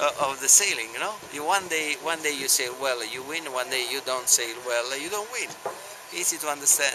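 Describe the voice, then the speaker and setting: Over noticeable background noise, a man with an Italian accent and fairly high pitch talks at a moderate pace with ordinary pitch variation. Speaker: sailing team owner. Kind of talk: interview. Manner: halting.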